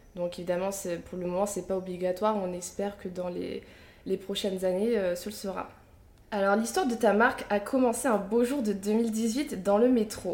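A woman talks with an ordinary speaking voice at medium pitch. Her intonation is fairly even and her pace moderate. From Picardie, northern France. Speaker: podcast host and media founder. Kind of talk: interview.

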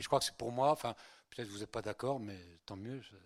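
A man's very fast speech with fairly even intonation, dry and close with no echo, on a very clean recording with a silent background. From Spain, then France from childhood. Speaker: priest. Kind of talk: lecture. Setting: conference hall with audience. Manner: conversational, hesitant with fillers.

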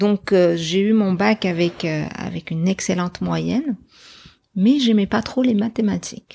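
At a fairly slow pace, a woman speaks with medium pitch, ordinary pitch variation and a dark, mellow tone on a very clean recording with a silent background. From Morocco, Casablanca. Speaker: journalist. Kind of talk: interview conversation. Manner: halting, frequent repetitions.

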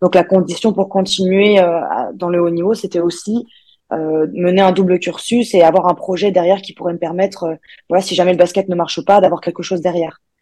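A woman speaks at a fairly quick pace in a flat monotone. Her voice is fairly low in pitch with a dark, mellow tone. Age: 20s. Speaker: professional basketball player. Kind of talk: casual interview. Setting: video call. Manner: halting.

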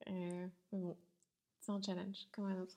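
This is a woman speaking at medium pitch. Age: 30s. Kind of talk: interview.

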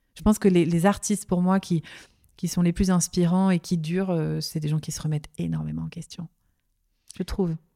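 Delivered in a flat monotone, the voice has a dark, mellow tone and leaves long, frequent pauses. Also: woman, fairly low pitch for a woman, moderate pace, dry, close sound with no echo. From Lorraine, France (Nancy). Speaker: sophrologist and dance journalist. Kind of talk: interview.

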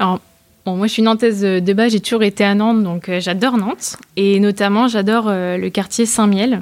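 A woman speaks at a moderate pace and medium pitch with fairly even intonation in a plain, everyday voice. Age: 20s. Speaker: startup founder. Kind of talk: interview.

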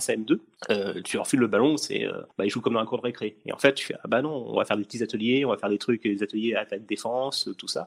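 With a normal speaking voice, a man talks at a fairly quick pace in a medium pitch with ordinary pitch variation. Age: 30s. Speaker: tax inspector, former teacher. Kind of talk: casual interview.

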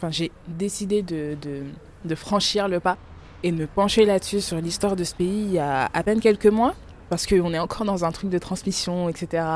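The delivery comes in a normal speaking voice at a moderate pace. Intonation stays fairly even. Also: woman, fairly low pitch for a woman. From France, of Congolese parents. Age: 20s. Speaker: podcast guest discussing texts. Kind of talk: casual conversation.

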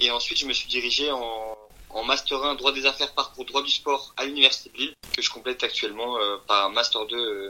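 Fairly even in intonation, a man's medium-pitched voice moves along at a fairly quick pace. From France. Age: 20s. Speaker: law student and sports law media founder. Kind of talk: interview. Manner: hesitant, many fillers and repetitions.

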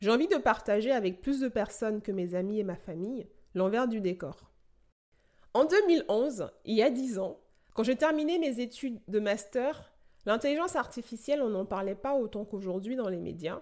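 A woman talks in a plain, everyday voice at a fairly high pitch. Her intonation is lively and her pace moderate. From Benin. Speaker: podcast host and AI researcher. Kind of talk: podcast introduction monologue.

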